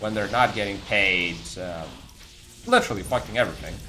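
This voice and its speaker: A man with a non-native accent and a fairly low pitch is heard through noticeable background noise and audible room echo. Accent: non-native English speaker. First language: non-English. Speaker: video game streamer. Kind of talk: live stream chat while gaming. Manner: casual, hesitant with repetitions.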